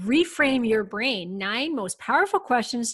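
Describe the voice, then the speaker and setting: On a very clean recording with a silent background, a woman with an unremarkable speaking voice talks at a moderate pace. Her pitch is fairly high and her intonation lively. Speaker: podcast host and hormone specialist. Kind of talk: interview.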